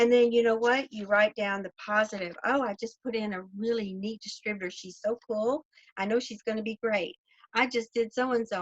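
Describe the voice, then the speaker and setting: A woman's fairly high voice with a Southern US accent, dry and close with no echo. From US South. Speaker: network marketing leader. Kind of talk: motivational talk.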